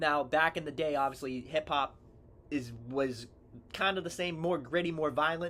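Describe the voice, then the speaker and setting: With music in the background, a man speaks at a fairly high pitch. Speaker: sports and rap video creator. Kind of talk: casual song breakdown commentary. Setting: seated, reading lyrics from a screen.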